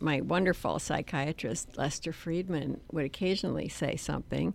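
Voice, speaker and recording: A woman's vocal fry at a fairly slow pace, on a very clean recording with a silent background. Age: 70s. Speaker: memoir author. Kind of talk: interview about her memoir.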